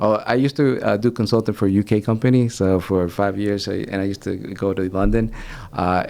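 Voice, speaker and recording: A man with a Spanish accent talks at a fairly quick pace. His voice has a dark, mellow tone and a fairly low pitch. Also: ordinary pitch variation. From United States, moved from El Salvador at age four. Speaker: branding and marketing consultant. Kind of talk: casual chat. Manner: halting, with frequent restarts.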